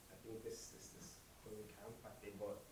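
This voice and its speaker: A man with a Nigerian accent talks at a very fast pace over noticeable background noise. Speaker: intern architect. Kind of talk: conference talk.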